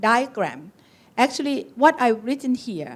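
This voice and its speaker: A woman with a Thai accent talks at a moderate pace. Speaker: occupational medicine physician. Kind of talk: conference talk. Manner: halting.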